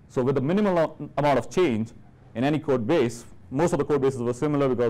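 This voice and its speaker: A man talks at a very fast pace in an Indian accent. His pitch is fairly high with ordinary variation, and his tone is dark and mellow. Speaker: software engineer, conference speaker. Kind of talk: conference talk.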